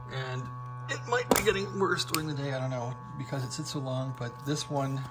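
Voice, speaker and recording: Man speaking with music in the background. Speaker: radio hobbyist. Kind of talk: casual demo talk. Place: home room.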